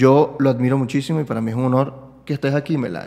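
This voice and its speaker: A man with a Caracas accent, fairly high in pitch, with fairly even intonation. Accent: Venezuelan Spanish (Caracas). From Venezuela. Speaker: podcast host and comedian; podcast host, comedian. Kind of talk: casual conversational interview. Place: home room. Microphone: studio mic.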